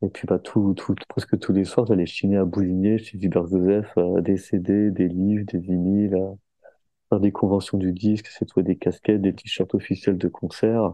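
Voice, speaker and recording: A man talks at a fairly slow pace in a fairly low voice. His intonation is monotone and flat. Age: 30s. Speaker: skateboarder. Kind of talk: casual chat.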